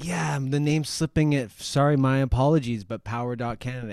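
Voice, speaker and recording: A man with a medium-pitched, ordinary speaking voice talks at a fairly quick pace with lively intonation. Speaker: podcast guest. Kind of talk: casual chat.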